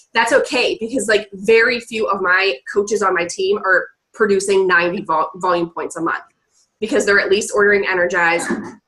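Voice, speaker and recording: Talking at a fairly quick pace, a woman has a medium pitch. Her intonation shows ordinary pitch variation. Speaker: network marketing coach. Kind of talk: team training call. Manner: fast.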